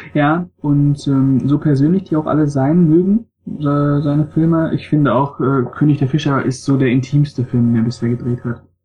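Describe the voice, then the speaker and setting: A man's fairly high voice at a moderate pace, with very even loudness and music in the background. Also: ordinary pitch variation. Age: 20s. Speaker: film blogger. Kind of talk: casual chat.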